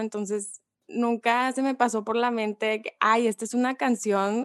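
At a fairly slow pace, a woman talks in a fairly high pitch with a plain, everyday voice. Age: 20s. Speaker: communications student. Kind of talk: casual chat.

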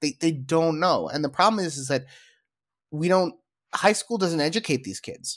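A high-pitched man with lively intonation and a moderate pace, long pauses coming often, in a very clean recording with a silent background. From Israel. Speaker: podcast host. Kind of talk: casual chat.

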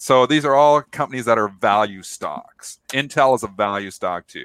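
Loud and bright with a sharp tone, a man's medium-pitched voice shows ordinary pitch variation in a dry, close sound with no echo on a very clean recording with a silent background. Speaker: trader and show co-host. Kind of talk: live market talk show. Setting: live streamed studio show. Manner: loud and hyper.

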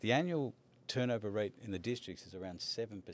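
This man has an Australian accent and lively intonation. He talks at a fairly quick pace. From Australia, Melbourne. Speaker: education college dean. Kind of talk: interview.

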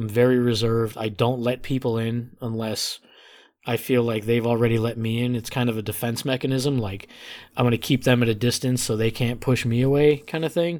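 An unremarkable speaking voice, this man talks at a fairly quick pace with an American accent, medium pitch and fairly even intonation, recorded very cleanly against a silent background. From Chicago north suburbs, Illinois. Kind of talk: casual chat.

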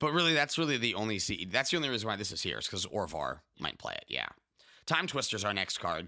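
Speaking very fast in a bright, sharp tone with vocal fry and very wide pitch swings, a man comes through in a very clean recording with a silent background. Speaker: podcast host. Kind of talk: casual chat.

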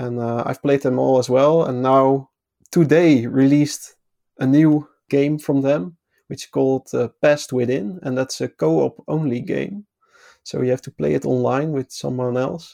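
A man with a Dutch accent speaks at medium pitch and a moderate pace, with ordinary pitch variation. His tone is dark and mellow, and the sound is dry and close with no echo. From Netherlands. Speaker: podcast guest. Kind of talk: casual chat.

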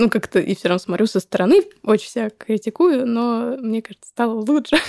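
An ordinary speaking voice from a woman, fairly high in pitch with lively intonation, in a dry, close sound with no echo. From Moscow, Russia. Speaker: psychologist and startup co-founder. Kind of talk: interview.

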